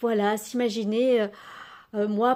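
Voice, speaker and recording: Very slowly and with fairly even intonation, a woman at a medium pitch speaks in a dark, mellow tone on a very clean recording with a silent background. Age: 60s. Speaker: journaling and oracle content creator. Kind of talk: casual tutorial. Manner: hesitant, many fillers; gentle.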